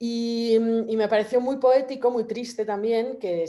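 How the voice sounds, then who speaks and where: A woman with a dark, mellow tone and a fairly high pitch. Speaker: photographer. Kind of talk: panel talk. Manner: fast; halting, many fillers.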